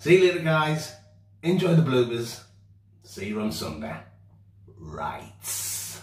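Room echo can be heard. The delivery is very slow. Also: man. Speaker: outdoor vlogger. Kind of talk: casual vlog chat. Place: bathroom.

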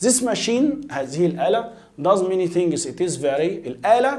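This man's voice sits high in pitch and swings very widely up and down. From Egypt. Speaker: English teacher. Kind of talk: lecture. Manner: repetitive, drilling pronunciation. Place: studio.

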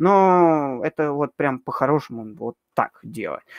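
Over a quiet background, a man with a plain, everyday voice and fairly high pitch speaks with lively intonation in a dry sound with no echo. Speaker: amateur astronomer and astrophotographer; guest. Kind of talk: casual live Q&A answering viewer questions. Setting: live stream, online video call. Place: home room. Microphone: webcam.

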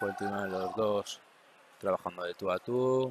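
A man at fairly low pitch and moderate pace, fairly even intonation, noticeable background noise. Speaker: combat sports commentator. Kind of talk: live sports commentary of a karate bout. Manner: matter-of-fact, explanatory, steady.

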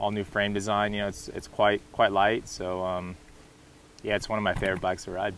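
A man with a Californian accent speaks at a fairly low pitch in a monotone, flat way. The sound is dry with no echo, with light background noise. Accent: Californian American. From California, US. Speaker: professional mountain bike racer. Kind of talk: promotional interview monologue. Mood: relaxed, enthusiastic about bike. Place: open country.

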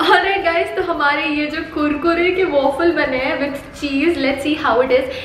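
A woman speaks with a high pitch and fairly even intonation. Light background noise and audible room echo are present. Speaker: food vlogger. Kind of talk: casual vlog chat. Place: kitchen. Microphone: camera far.

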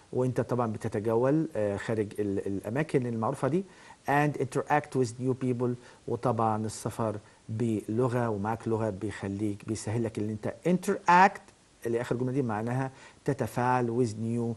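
A man with an Egyptian accent speaks at a medium pitch. His pace is fairly slow, with ordinary pitch variation. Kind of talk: lecture. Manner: halting.

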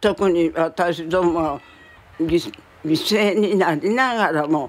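A woman speaks in a fairly low pitch. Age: 90s. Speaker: war survivor. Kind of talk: testimony. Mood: solemn, reflective. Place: home room.

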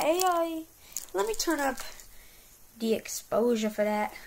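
Over noticeable background noise, a woman speaks at a high pitch with lively intonation. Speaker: gaming youtuber. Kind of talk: gameplay commentary; casual chat. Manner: animated.

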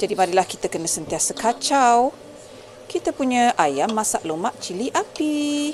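A woman's fairly high-pitched voice at a fairly slow pace, with very wide pitch swings and light background noise. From Negeri Sembilan, Malaysia. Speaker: cooking vlogger. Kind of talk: cooking tutorial. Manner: casual, chatty. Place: kitchen. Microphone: phone near.

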